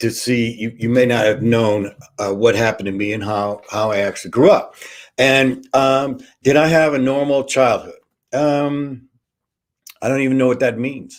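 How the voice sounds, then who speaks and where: With an American accent, a man speaks at a moderate pace and ordinary pitch variation. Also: medium pitch for a man. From US Midwest, Kansas City, Missouri. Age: 60s. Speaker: online show host. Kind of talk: casual monologue, personal life story. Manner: halting, many fillers.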